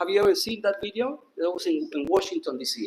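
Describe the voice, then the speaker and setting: With a non-native accent, a man speaks at a fairly quick pace, his pitch swinging very widely. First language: not English. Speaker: disciple sharing memories. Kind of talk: testimony. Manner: halting.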